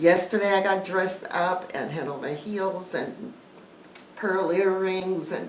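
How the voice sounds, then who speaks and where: Noticeable background noise and audible room echo surround the recording. A woman with a medium-pitched voice talks at a fairly slow pace. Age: 60s. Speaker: YouTuber, life coach. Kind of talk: casual vlog talk to viewers.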